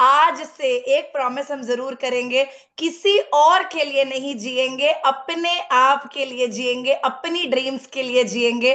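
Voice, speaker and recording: In a bright, sharp tone, the speech runs on with hardly any pauses. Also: woman. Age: 30s. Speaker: network marketing speaker. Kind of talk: motivational talk. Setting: video call.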